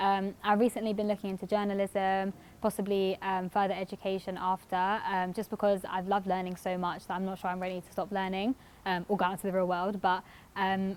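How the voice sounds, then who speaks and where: A woman with a London accent talks at a very fast pace, her pitch sitting in the medium range. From North London, England. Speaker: university student. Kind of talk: casual testimony. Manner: hesitant with frequent fillers.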